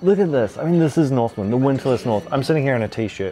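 Against light background noise, a man speaks with ordinary pitch variation. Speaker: food travel host. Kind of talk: casual food vlog commentary. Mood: relaxed, enthusiastic. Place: cafe. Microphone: lapel.

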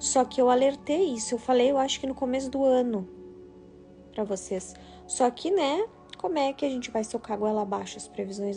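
A woman speaks at a moderate pace in a high voice while faint music plays in the background. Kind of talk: casual live stream talk. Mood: solemn, warning tone. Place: home room. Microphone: phone near.

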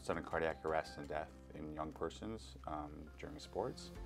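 Faint music sits in the background. Against it, a man speaks at a moderate pace. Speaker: guest. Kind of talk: interview answer. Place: studio. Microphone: lapel.

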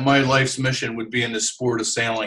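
Against a quiet background, a man with an American accent speaks at a fairly quick pace. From New Jersey, US. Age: 60s. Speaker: sailor and TV sailing commentator. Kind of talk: interview. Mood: relaxed, reflective. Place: home room. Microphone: webcam.

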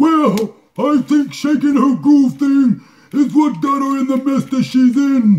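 A cartoonish character voice from a man, extremely high in pitch, at a fairly slow pace. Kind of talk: comedic puppet advice show. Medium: puppet.

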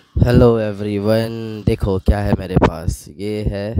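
A man speaks with a fairly low pitch. The sound is dry with no echo, over light background noise. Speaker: travel vlogger. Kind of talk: casual vlog chat. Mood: relaxed, playful.

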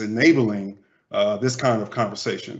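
A man's voice with an American accent, medium in pitch, a normal speaking voice at a moderate pace. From Cincinnati, Ohio. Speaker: marketing communications manager. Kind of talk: panel discussion.

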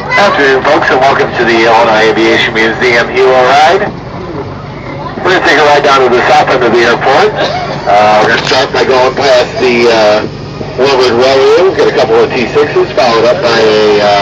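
A man talks at a moderate speed with ordinary pitch variation. Loud background noise runs behind him. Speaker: ride tour guide. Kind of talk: tour announcement commentary.

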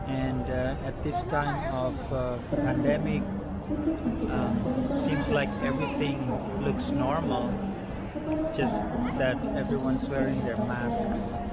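Loud background noise fills the recording. A man speaks at a very slow pace, leaving long, frequent pauses. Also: dry sound with no echo. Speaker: travel vlogger. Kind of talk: casual vlog chat. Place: station. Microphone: phone near.

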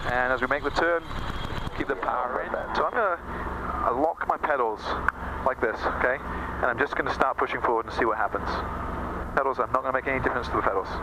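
Background noise is clearly noticeable. Over it, a man rattles along very fast. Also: ordinary pitch variation. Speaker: flight instructor. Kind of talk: instructional commentary. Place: plane. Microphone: headset.

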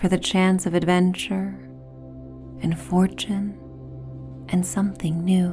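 A soft-spoken woman in a calm tone, at a fairly slow pace with long, frequent pauses and very even loudness, over clear music in the background. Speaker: meditation guide. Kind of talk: sleep story; guided meditation narration. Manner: calm, soft-spoken. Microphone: studio mic.

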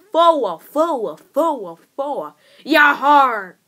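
A put-on character voice, female-sounding and high in pitch. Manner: playful, growly, snarling.

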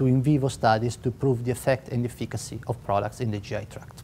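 Fairly quick speech in an Italian accent over light background noise. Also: man. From Italy. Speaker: biotech company co-founder. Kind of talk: interview. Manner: halting. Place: hall.

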